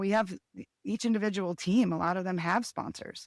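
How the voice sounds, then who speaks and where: At a fairly quick pace, a woman with a plain, everyday voice keeps fairly even intonation in a dry, close sound with no echo. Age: 50s. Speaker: skijoring race organizer and competitor. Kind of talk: podcast interview.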